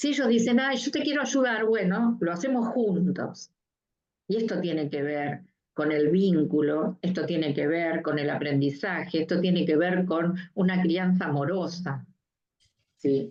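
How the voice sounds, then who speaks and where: A woman talks in a normal speaking voice, fairly low in pitch, with lively intonation. Her loudness stays very even, and her pace is fairly slow. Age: 60s. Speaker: mental health professional. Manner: uses filler 'eh' and repeated '¿sí?'.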